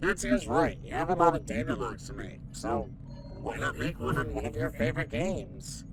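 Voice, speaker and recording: Someone performs in a put-on character voice at a moderate pace. Loud background noise fills the recording. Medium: comedy sketch. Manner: naive, chirpy.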